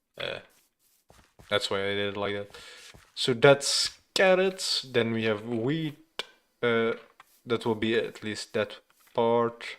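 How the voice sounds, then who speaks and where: A man with a non-native accent at a very slow pace, with a medium pitch, ordinary pitch variation and long, frequent pauses. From Flanders, Belgium. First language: Dutch (Flemish). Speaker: gaming streamer. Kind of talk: live gameplay stream chat. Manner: hesitant, many fillers.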